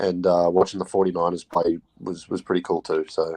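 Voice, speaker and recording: A man with an Australian accent at a fairly quick pace, in a dry, close sound with no echo. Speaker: football fan. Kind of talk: casual chat.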